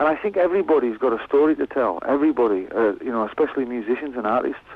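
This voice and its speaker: A man with a Cumbrian accent and a medium pitch, talking at a very fast pace with lively intonation. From West Cumbria, northern England. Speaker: musician. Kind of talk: radio interview. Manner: halting, many repeated words.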